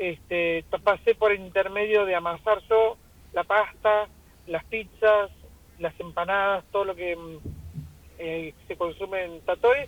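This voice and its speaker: A woman with a Rioplatense accent speaks at a fairly slow pace and medium pitch, her intonation fairly even but her loudness swinging widely. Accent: Argentine Spanish (rioplatense). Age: 60s. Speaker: restaurant owner. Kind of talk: radio interview.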